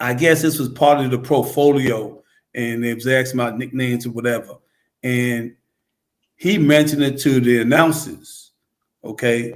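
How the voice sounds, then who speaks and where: In a New York accent, a man of medium pitch talks at a moderate pace with fairly even intonation and long, frequent pauses. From New York City, Queensbridge. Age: 70s. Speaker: former basketball player and coach. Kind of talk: casual interview chat. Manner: repetitive, stammering restarts.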